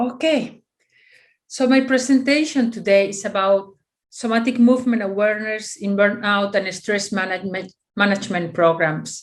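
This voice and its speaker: A woman with a Spanish accent, medium pitch, moderate pace and ordinary pitch variation. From Spain. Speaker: physiotherapist. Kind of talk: conference presentation. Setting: video call. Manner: halting.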